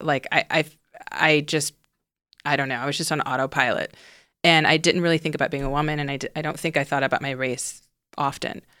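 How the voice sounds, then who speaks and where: In a very clean recording with a silent background, a woman with an American accent speaks at a fairly quick pace in a very deep, low pitch, her tone bright and sharp, her intonation monotone and flat, with long, frequent pauses. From US South, Houston, Texas. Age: 30s. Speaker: documentary director. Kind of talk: casual chat. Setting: studio.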